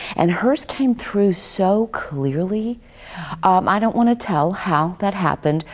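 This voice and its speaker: A woman with an unremarkable speaking voice talks at a medium pitch with lively intonation. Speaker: talk show host. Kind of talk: interview talk.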